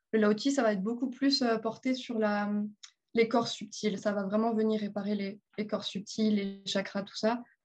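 Somewhat breathy and monotone, a woman speaks fairly slowly in a fairly high pitch. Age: 20s. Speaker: energy massage therapist. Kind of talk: interview.

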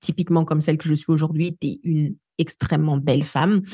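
A woman's somewhat breathy, dark, mellow voice with very deep, low pitch, a fairly quick pace, and a dry, close sound with no echo. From DR Congo, Kinshasa. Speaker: storytelling coach. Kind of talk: interview.

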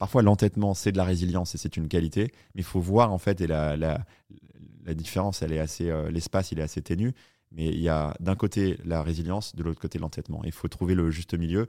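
Very fast and very deep, low-pitched, a man speaks with a dark, mellow tone and fairly even intonation. The recording is very clean, with a silent background. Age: 30s. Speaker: startup founder. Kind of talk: interview.

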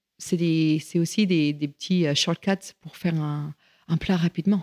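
A woman's voice, dry and close with no echo. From US, rural Virginia. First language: English (speaking French). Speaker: chef and caterer. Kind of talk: interview. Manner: halting.

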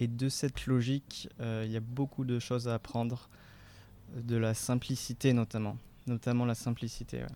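Heard on a very clean recording with a silent background, a man speaks at a moderate pace and medium pitch in a monotone, flat intonation. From France, Marseille. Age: 20s. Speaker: charity volunteer. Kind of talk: interview. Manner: hesitant.

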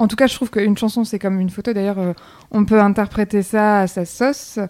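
Her voice sits at a medium pitch with a dark, mellow tone. The woman's intonation stays fairly even. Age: 30s. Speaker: photographer. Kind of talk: casual chat.

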